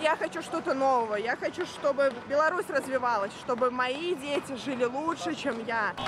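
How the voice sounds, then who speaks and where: A woman's high voice, with lively intonation, very even loudness and hardly any pauses, against noticeable background noise. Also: moderate pace. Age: 20s. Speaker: protester. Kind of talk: street interview.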